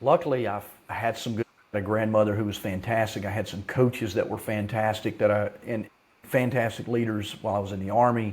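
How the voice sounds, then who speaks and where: A man speaks at a fairly low pitch and a fairly quick pace. His intonation stays fairly even. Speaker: leadership consultant and business founder. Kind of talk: podcast interview. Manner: loud; assertive.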